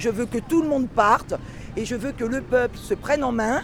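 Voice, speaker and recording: A woman with a high-pitched voice speaks at a moderate pace in an animated tone, with noticeable background noise behind her. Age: 50s. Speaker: yellow vest protester. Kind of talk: street interview, impassioned.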